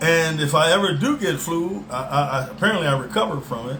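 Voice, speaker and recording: With an American accent, a man speaks at a fairly quick pace with ordinary pitch variation, amid audible room echo and noticeable background noise. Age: 60s. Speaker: self-styled preacher. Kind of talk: religious monologue. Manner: halting, many fillers and repeats.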